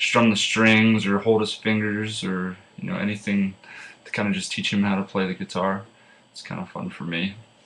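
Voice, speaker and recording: A man with an American accent speaks in a fairly low pitch. Background noise is noticeable. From Pennsylvania, rural farm. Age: 20s. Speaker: student. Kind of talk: class self-introduction speech. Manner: casual with many filler uhs.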